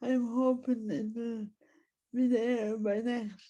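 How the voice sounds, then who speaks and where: With a dark, mellow tone, a woman speaks at a high pitch and a very slow pace, her intonation monotone and flat. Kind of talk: prepared talk.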